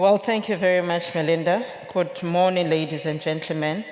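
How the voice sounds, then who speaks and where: The woman's voice sits fairly low and moves at a moderate pace. Audible room echo surrounds it. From Lesotho. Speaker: industry association CEO. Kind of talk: keynote speech. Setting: conference stage with audience.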